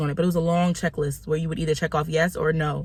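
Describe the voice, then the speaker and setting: Very fast and monotone, a woman speaks with flat intonation at a very deep, low pitch and sounds somewhat breathy. The recording is very clean, with a silent background. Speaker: vlogger. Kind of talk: casual vlog.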